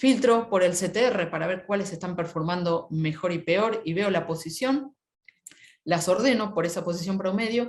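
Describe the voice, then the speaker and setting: Speaking at a moderate pace in an unremarkable speaking voice, a woman keeps a medium pitch with ordinary pitch variation. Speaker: SEO specialist, webinar speaker. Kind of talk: webinar talk.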